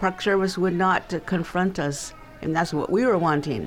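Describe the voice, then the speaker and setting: A woman with an American accent at a moderate pace and fairly even intonation, with crowd noise in the background. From Death Valley, California, Timbisha Shoshone.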